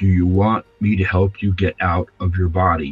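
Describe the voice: A put-on character voice delivers monotone, flat intonation at a moderate pace over faint music in the background. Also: man.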